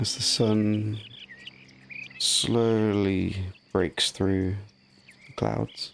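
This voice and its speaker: Over noticeable background noise, a man with a fairly low pitch speaks at a very slow pace in a gentle, relaxed tone, with fairly even intonation and long, frequent pauses. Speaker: gaming commentator; actor, yoga teacher. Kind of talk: relaxing sleep gameplay commentary.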